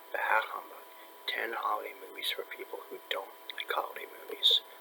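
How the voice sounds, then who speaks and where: Soft-spoken delivery at a moderate pace with fairly even intonation. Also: man. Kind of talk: casual article discussion read aloud to camera.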